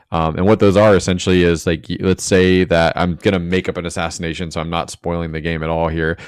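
In an American accent, a man speaks at a very fast pace. His voice is very deep and low, with monotone, flat intonation. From Jacksonville, Florida. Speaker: podcast host. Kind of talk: casual chat. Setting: remote video/voice call.

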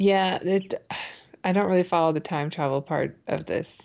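This woman has an ordinary speaking voice. She talks at a moderate pace with ordinary pitch variation. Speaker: podcast co-host. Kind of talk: casual chat reviewing a TV episode.

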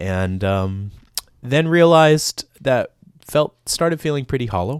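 The speaker has a Southern Californian accent and lively intonation. The recording is very clean, with a silent background. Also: man. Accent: Southern California American. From Los Angeles, US. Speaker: education director, podcast guest. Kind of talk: casual radio interview. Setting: radio studio.

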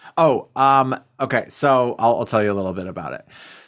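This man has a medium pitch and an animated tone. He talks at a moderate pace. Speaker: podcast host. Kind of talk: casual banter, comedic chat. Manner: jokey, animated.

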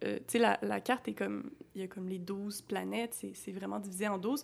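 Vocal fry runs through this woman's speech. Her pitch varies in an ordinary way. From Quebec City. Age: 20s. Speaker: podcast host, astrologer. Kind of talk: casual interview.

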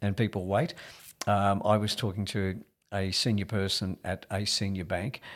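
With an Australian accent, a man speaks at a moderate pace in a fairly low pitch, his intonation fairly even. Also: very clean recording, silent background. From Australia, rural New South Wales. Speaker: real estate executive. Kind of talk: interview.

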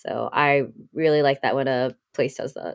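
This woman's voice is very deep and low in pitch. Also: dry, close sound with no echo. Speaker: marketer and social media creator. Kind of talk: casual conversation. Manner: casual, filler-heavy.

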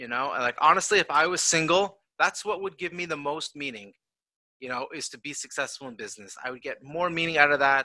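A man speaks in a plain, everyday voice at fairly high pitch, with ordinary pitch variation. His loudness swings widely over a quiet background. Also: fairly quick pace. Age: 30s. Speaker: esports company founder. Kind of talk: casual interview.

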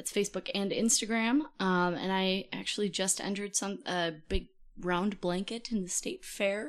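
At a moderate pace, a woman talks with an Upper Midwest accent. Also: medium pitch for a woman, ordinary pitch variation. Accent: Upper Midwest American. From Minnesota. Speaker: podcast guest. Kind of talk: casual chat.

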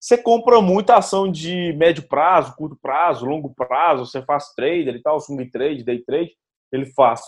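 A man with a fairly high pitch speaks at a moderate pace in a normal speaking voice with lively intonation. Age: 20s. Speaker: startup founder and CEO. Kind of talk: casual chat.

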